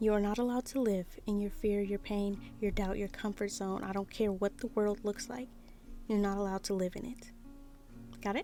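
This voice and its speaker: Over music in the background, a woman of medium pitch talks at a fairly quick pace with fairly even intonation. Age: 20s. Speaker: artist and spiritual content creator. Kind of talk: casual talk to camera. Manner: emphatic, motivational.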